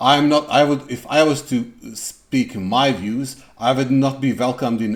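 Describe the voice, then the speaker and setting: Speaking fairly slowly with a non-native accent and ordinary pitch variation, a man is heard in a very clean recording with a silent background. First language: not English. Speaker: music reaction youtuber. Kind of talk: casual reaction commentary. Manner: halting, many fillers.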